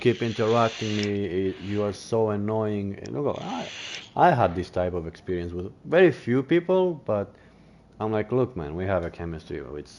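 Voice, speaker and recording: A man with a non-native accent speaks at a moderate pace in a fairly low voice with ordinary pitch variation. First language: not English. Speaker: gaming streamer. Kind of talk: casual chat. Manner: halting.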